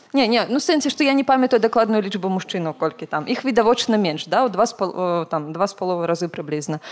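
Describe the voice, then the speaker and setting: At a fairly quick pace, a woman speaks in a medium pitch that swings very widely. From Belarus. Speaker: volunteer coordinator; panelist. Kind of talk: panel discussion. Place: hall. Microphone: handheld.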